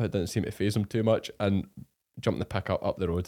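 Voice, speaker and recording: A man speaks in a Scottish accent with a dark, mellow tone. The recording is very clean, with a silent background. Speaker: farmer podcast host. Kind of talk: casual chat.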